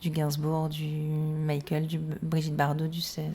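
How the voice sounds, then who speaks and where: This woman has a very deep, low pitch and a dark, mellow, somewhat breathy tone. Her intonation is monotone and flat, and audible room echo surrounds it. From Corsica (Cap Corse), half Sicilian. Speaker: singer and star impersonator. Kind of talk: radio interview.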